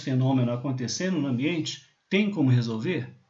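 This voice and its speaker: Room echo can be heard. The man talks at a moderate pace. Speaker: university lecturer. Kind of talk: lecture. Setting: recorded remote class over slides.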